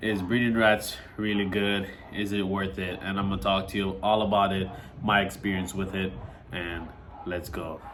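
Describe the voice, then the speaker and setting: Speech at a moderate pace with fairly even intonation, heard with audible room echo and noticeable background noise. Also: man. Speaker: reptile keeper and breeder. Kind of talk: casual vlog talk. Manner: casual with fillers.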